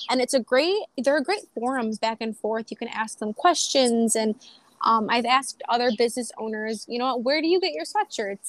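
A woman with a Western New York accent and a fairly high voice, ordinary pitch variation, a moderate pace, dry, close sound with no echo, and a very clean recording with a silent background. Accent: Western New York (Inland North) American. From Buffalo, New York. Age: 20s. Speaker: small business owner. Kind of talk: casual interview.

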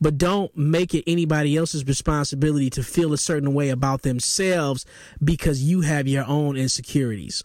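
A man with a plain, everyday voice, fairly high pitch, fairly even intonation and a fairly quick pace, in a very clean recording with a silent background. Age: 40s. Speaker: podcast host. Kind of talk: solo commentary reacting to video clips.

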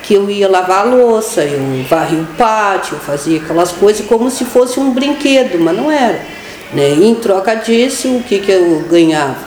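A woman's voice with very wide pitch swings and very even loudness, plus audible room echo and noticeable background noise. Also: medium pitch for a woman, moderate pace. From Pelotas, Rio Grande do Sul, Brazil. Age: 50s. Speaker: education worker and union activist. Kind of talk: radio interview.

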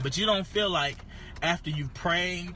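Audible room echo surrounds a man as he speaks. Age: 30s. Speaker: pastor and podcast host. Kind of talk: casual devotional talk. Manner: halting, many fillers and repeats.

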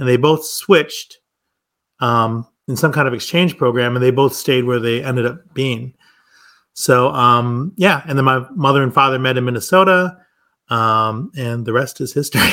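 This man speaks with an Upper Midwest accent at a medium pitch. His tone is bright and sharp. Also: ordinary pitch variation, moderate pace. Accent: Upper Midwest American. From US Midwest, Milwaukee. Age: 50s. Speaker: wine shop and cafe owner, former academic. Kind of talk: casual interview.

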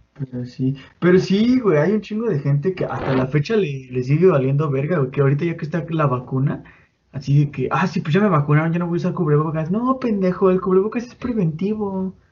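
A man's high-pitched voice at a fairly quick pace. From Mexico, State of Mexico (Chimalhuacán). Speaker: podcast host. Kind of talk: casual chat. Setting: home bedroom.

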